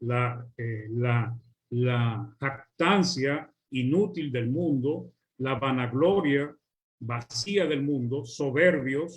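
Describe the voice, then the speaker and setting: A somewhat breathy man at medium pitch, very slow pace and ordinary pitch variation. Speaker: preacher. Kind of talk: sermon.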